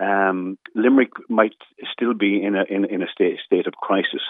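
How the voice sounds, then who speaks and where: A man with an Irish accent. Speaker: local councillor and former police officer. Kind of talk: radio interview.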